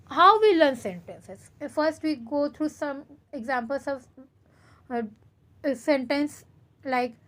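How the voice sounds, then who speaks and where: Speaking at a fairly slow pace, a woman with an Indian accent uses a high pitch and ordinary pitch variation. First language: Hindi. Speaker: teacher. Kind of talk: lecture. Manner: code-switches between English and Hindi.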